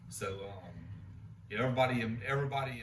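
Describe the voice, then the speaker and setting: In an American accent, the speaker goes at a very fast pace with fairly even intonation, amid noticeable background noise and audible room echo. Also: man. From south Louisiana and Jay, Florida. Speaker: oilfield family member. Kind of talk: oral history interview. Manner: halting, with repetitions.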